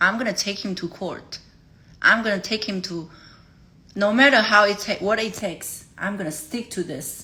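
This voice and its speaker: This woman speaks with a Chinese accent at a medium pitch. Her tone is bright and sharp. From China. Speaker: livestreamer. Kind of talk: emotional livestream talk. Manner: halting.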